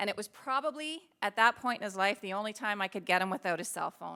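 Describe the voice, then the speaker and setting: A woman with a Canadian accent speaks at a fairly quick pace in a bright, sharp tone with fairly high pitch. Her pitch varies in an ordinary way on a very clean recording with a silent background. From Ontario, Belleville. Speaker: public speaker, hockey mom and author. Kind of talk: keynote talk.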